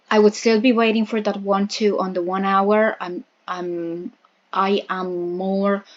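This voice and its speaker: Her pitch sits in the medium range, and her intonation is fairly even. The woman speaks at a fairly slow pace. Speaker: crypto trading analyst. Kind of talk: market analysis tutorial. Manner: hesitant fillers, repeats words.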